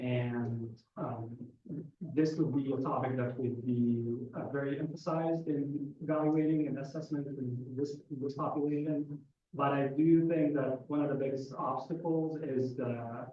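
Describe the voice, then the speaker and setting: Heard with audible room echo, a man with an Arabic accent speaks at a fairly slow pace, his fairly high pitch held in fairly even intonation. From Egypt. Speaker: psychiatrist. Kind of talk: audience question at lecture.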